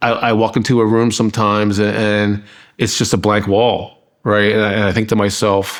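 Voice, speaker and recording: A man with an American accent and fairly low pitch, monotone and flat in intonation, very even in loudness, at a moderate pace on a very clean recording with a silent background. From US Northeast, Philadelphia area. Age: 50s. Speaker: artist. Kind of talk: documentary interview. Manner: halting, many repetitions.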